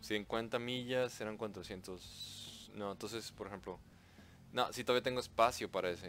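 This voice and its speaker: With music playing behind him, a man talks at a fairly slow pace, his fairly low pitch held to a fairly even intonation. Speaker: gaming YouTuber. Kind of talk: gameplay commentary. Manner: casual, hesitant with fillers.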